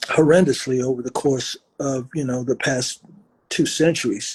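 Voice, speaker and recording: Somewhat breathy and fairly high-pitched, a man talks at a fairly slow pace with fairly even intonation in a dry, close sound with no echo. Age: 70s. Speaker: rock musician and author. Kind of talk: interview.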